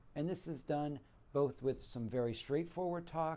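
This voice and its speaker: With an American accent, a man speaks at a moderate pace and ordinary pitch variation while music plays in the background. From central Pennsylvania. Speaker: spine surgeon. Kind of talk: promotional self-introduction. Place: office. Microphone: lapel.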